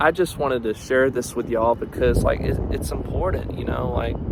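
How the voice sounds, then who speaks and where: A man speaks with a slight Southern US accent. Noticeable background noise is present. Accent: slight Southern twang. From US South, northeast Georgia. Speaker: student vlogger. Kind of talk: personal video diary. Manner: halting, many fillers.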